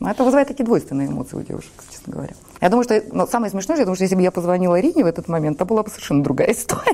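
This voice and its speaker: Noticeable background noise sits behind a woman speaking at a very fast pace. Her medium-pitched voice moves through very wide pitch swings. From Saint Petersburg, Russia. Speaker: entrepreneur and food blogger. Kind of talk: casual interview. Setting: TV studio.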